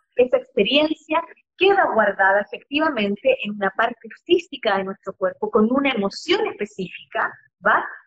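Her pitch is high and swings very widely as the woman talks at a moderate pace. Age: 40s. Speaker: astrologer and therapist. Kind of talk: casual chat. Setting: live video stream. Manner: animated.

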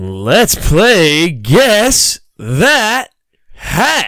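A man uses a put-on character voice pitched high. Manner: upbeat, announcer-like.

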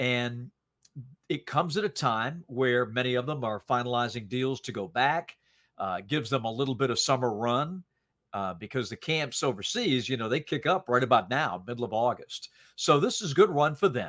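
A man with an American accent has an unremarkable speaking voice at medium pitch, using lively intonation at a moderate pace. The recording is very clean, with a silent background. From US South, North Carolina. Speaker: sports play-by-play commentator. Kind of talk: podcast interview.

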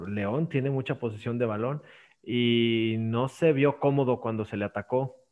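At a fairly slow pace, a man with an unremarkable speaking voice talks at medium pitch with ordinary pitch variation. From Mexico, Aguascalientes. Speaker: podcast host. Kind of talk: casual chat.

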